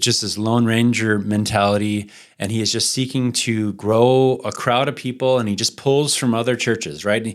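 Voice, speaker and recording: A man's medium-pitched, unremarkable speaking voice at a moderate pace, fairly even in intonation with hardly any pauses, on a very clean recording with a silent background. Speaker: podcast host and church planter. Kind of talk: podcast conversation about church planting.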